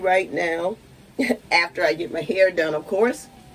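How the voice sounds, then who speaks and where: A woman is talking. Her pace is fairly slow. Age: 60s. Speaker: lifestyle vlogger. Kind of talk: casual vlog. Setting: home.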